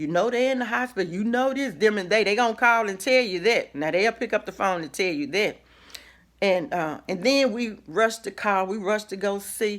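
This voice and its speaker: A woman speaks at a moderate pace with a medium pitch. Her tone is animated, with ordinary pitch variation. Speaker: minister, inspirational vlogger. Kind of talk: motivational talk. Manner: loud.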